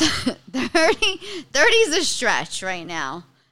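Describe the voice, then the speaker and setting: This woman has a strong Bronx accent. Her tone is bright and sharp. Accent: strong Bronx New York. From New York City, the Bronx. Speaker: stand-up comedian. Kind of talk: casual chat. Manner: animated.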